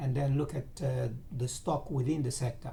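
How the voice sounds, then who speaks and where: The tone is dark and mellow, and the voice is somewhat breathy. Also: man. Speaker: financial market analyst. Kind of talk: tutorial. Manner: halting.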